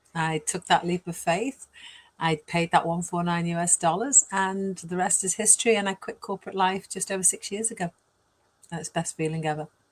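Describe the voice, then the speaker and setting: In a Welsh accent, a woman with a somewhat breathy, medium-pitched voice talks at a fairly quick pace, the sound dry and close with no echo and the recording very clean against a silent background. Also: fairly even intonation. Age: 60s. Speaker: online business mentor. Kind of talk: interview. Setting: live video stream.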